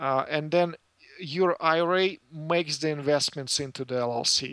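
A man with a Russian accent, fairly high in pitch, with a bright, sharp tone, fairly even intonation and a fairly slow pace. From former Soviet Union. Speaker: financial services business owner. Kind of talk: interview. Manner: halting, many fillers.

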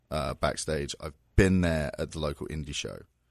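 A man talks with a southern English accent. His pace is moderate. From southern England (Surrey, near London). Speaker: pro wrestling figure. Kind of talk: casual chat. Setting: studio.

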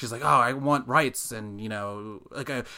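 A man with a New England accent speaks at a fairly quick pace in a bright, sharp tone. The recording is very clean, with a silent background. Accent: American English, New England. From US Northeast, Massachusetts. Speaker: podcast host. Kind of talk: casual chat.

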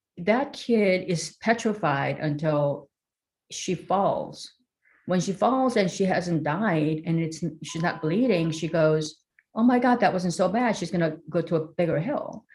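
A woman speaks with a Korean accent in a fairly low, somewhat breathy voice. Her pace is fairly slow and her intonation lively. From South Korea. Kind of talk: interview.

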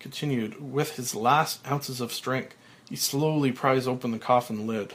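A text is being read aloud in a natural voice.

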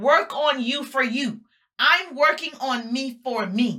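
Her voice high-pitched, a woman speaks in a tone that is warm and upbeat as well as bright and sharp. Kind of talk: motivational pep talk, live social-media rally. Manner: rousing, emphatic and fired-up, with punchy repeated slogans and call-and-response; warm, upbeat and preacher-like, addressing the audience as 'my people'.

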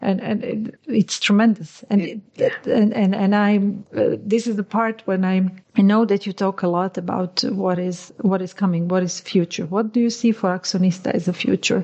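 The woman's voice is somewhat breathy. She keeps a moderate pace and fairly even intonation. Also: medium pitch for a woman, hardly any pauses. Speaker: podcast host. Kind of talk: interview, conversational.

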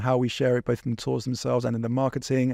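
Against a quiet background, a man with an English accent speaks very fast at a medium pitch, the sound dry and close with no echo. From England. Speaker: walking tour company founder. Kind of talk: casual chat.

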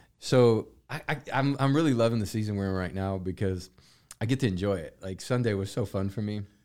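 A man speaks at a fairly quick pace in a plain, everyday voice, fairly low in pitch with ordinary pitch variation. The recording is very clean, with a silent background. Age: 40s. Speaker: pastor and podcast host. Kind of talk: casual chat.

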